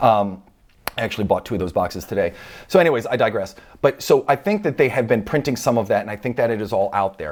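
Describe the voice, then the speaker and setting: Very fast speech with lively intonation and an animated tone. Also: man, medium pitch for a man. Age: 40s. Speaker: trading card collector youtuber. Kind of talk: casual monologue.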